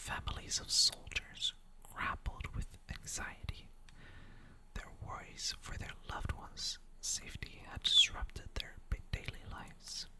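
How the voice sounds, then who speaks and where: A woman whispers in a calm tone at a fairly slow pace. Noticeable background noise is present. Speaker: ASMR creator. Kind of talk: lore reading, storytelling. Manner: slow, calm, whispered.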